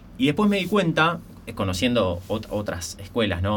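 The man talks at a fairly quick pace in a somewhat breathy voice. There is audible room echo. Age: 30s. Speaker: entrepreneur and business mentor. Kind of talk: podcast interview.

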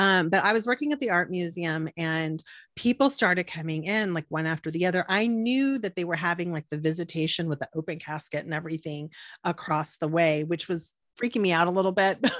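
A woman with an American accent talks at a fairly quick pace in a fairly low pitch, with ordinary pitch variation. The recording is very clean, dry and close, with a silent background and no echo. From South Texas, Corpus Christi. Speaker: podcast host. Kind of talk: casual interview chat.

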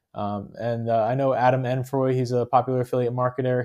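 A man with an American accent speaks at a medium pitch. His tone is dark and mellow, and the background is quiet. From New Jersey. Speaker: affiliate marketer. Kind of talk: tutorial. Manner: casual with frequent fillers.

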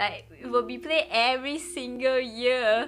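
A woman speaks at a fairly slow pace in a high, raised and projected voice with a bright, sharp tone. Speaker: podcast co-host. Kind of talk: casual chat.

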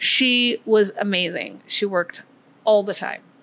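Speaking at a fairly slow pace, the woman has a bright, sharp tone. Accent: American. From US Midwest. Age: 50s. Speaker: winery co-founder. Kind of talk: interview conversation. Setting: pizza restaurant.

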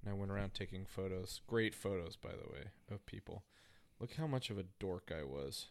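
In an American accent, a man uses a plain, everyday voice pitched fairly low. He talks at a fairly quick pace with lively intonation. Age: 30s. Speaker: podcast co-host. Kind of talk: casual chat.

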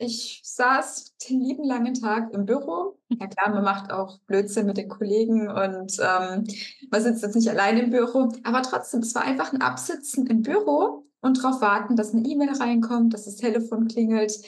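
This is a plain, everyday voice at a moderate pace. The pitch varies in an ordinary way. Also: woman, fairly high pitch for a woman. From Baden-Württemberg, Germany (Rastatt). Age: 30s. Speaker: financial coach. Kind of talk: interview.

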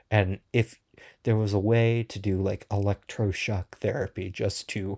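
A man speaks at a fairly slow pace with a fairly low, somewhat breathy voice and monotone, flat intonation. The recording is very clean, with a silent background. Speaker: podcast host. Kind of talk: casual solo podcast rant. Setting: podcast recording.

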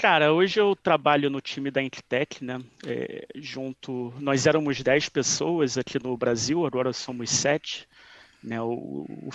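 Medium-pitched male speech, a normal speaking voice with fairly even intonation. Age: 30s. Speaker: database security expert. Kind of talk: interview.

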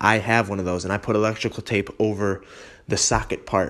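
On a very clean recording with a silent background, a man with an American accent uses an ordinary speaking voice, fairly low in pitch, with fairly even intonation at a moderate pace. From western New York (Holley area). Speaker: fitness podcast host. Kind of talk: casual solo podcast talk. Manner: casual with frequent fillers (um, you know).

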